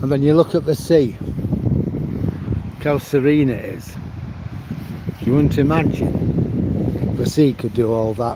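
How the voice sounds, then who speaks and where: A man with an English accent speaks very slowly at a medium pitch with ordinary pitch variation, with noticeable background noise behind him. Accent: English regional accent, viewers remark on it. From northern England, Manchester. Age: 70s. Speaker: vlogger. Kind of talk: casual walking vlog commentary. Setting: outdoors, walking along the promenade.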